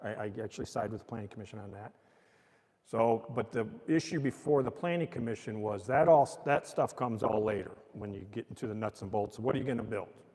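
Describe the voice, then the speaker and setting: An ordinary speaking voice with an American accent moves at a fairly quick pace. Its pitch variation is ordinary. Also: man. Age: 60s. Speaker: mayor. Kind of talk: public talk explaining city business. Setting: old courtroom with live audience, streamed. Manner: casual and conversational.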